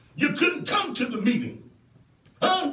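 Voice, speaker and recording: A man talks in a raised, projected voice at an extremely high pitch. He goes at a fairly quick pace amid noticeable background noise. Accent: American. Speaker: community activist and show host. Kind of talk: passionate talk-show monologue. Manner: fiery, preacher-like, emphatic.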